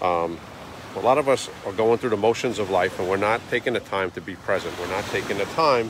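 A man talks at a fairly low pitch. The sound is dry with no echo, with noticeable background noise. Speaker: daily vlogger. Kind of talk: motivational casual vlog talk. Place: beach. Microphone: phone near.

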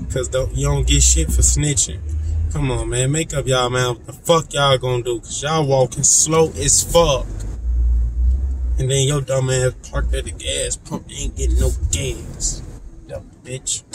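Noticeable background noise sits behind a man whose voice sounds dry, with no echo. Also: moderate pace. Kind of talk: casual vlog chat. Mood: annoyed, ranting. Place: car. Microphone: phone near.

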